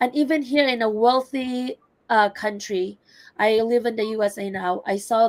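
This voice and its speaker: A woman with a non-native accent, fairly high pitch and ordinary pitch variation, at a fairly slow pace. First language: not English. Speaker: entrepreneur, healthcare worker. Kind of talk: personal testimony in online webinar.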